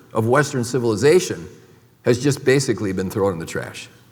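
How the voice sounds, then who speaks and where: Audible room echo surrounds a man with a medium pitch. His intonation is lively. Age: 70s. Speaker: medical doctor. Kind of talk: conference talk.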